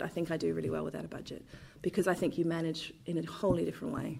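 A very fast woman with a southern English accent. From London, England. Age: 30s. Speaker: theatre director. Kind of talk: interview.

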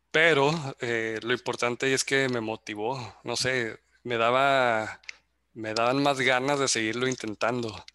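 A man's medium-pitched, fairly slow voice, bright and sharp in tone, monotone and flat, on a very clean recording with a silent background. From Mexico, Zacatecas. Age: 30s. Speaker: athlete and engineer. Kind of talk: casual chat. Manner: halting.

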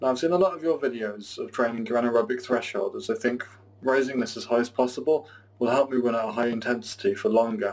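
At a fairly quick pace, a man uses an ordinary speaking voice at a medium pitch with ordinary pitch variation. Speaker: listener asking question. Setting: recorded voice message.

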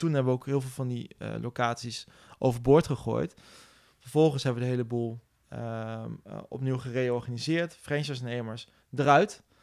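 Long, frequent pauses in a man's moderate-paced speech. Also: medium pitch for a man. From Netherlands, Nijmegen. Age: 40s. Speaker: bootcamp business owner. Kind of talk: interview. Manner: energetic; halting, many repetitions.

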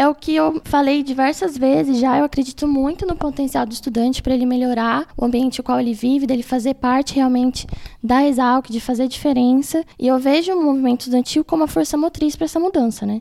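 A woman's high-pitched voice with ordinary pitch variation, fairly quick and with hardly any pauses, over noticeable background noise. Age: 20s. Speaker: student union president. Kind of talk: casual interview. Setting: in-person studio interview. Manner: formal.

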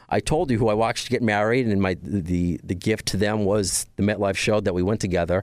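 Over a silent background in a very clean recording, a man talks very fast at a fairly low pitch. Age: 30s. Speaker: podcast host. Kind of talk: casual chat. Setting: studio.

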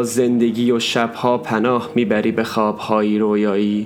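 His pace is very slow. The man's pitch is medium. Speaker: podcast author and narrator. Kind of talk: poet spoken word. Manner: slow, wistful, melancholic; emotional, intimate, lyrical.

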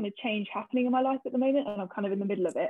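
A woman speaks with a southern English accent. Her pitch is medium, with ordinary variation. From southern England, Hertfordshire (Hitchin). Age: 20s. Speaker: social work student. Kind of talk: casual interview.

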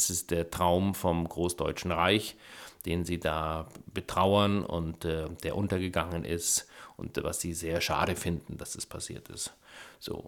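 Very slow, monotone, flat speech from a man with a very deep, low pitch. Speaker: film director. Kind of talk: interview. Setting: home studio.

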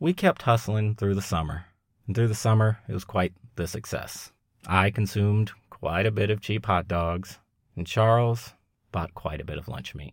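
A man with an unremarkable speaking voice talks at a moderate pace, fairly low in pitch with ordinary variation. The recording is very clean, with a silent background. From Long Beach, California. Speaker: podcast host. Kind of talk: scripted narration.

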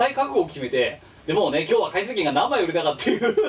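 Over noticeable background noise, a man with a high pitch talks at a very fast pace in an animated tone, his pitch swinging very widely. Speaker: podcast co-host. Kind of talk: casual chat. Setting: remote recording over voice chat. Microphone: poor audio, parts hard to hear.

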